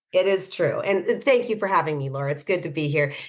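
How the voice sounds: A woman talks fast in a low-pitched voice with lively intonation.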